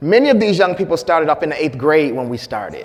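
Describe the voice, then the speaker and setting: Noticeable background noise and audible room echo surround the voice. A man with an American accent speaks at a fairly high pitch. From Flint, Michigan, US Midwest. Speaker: health disparities researcher and doctor. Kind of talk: conference presentation.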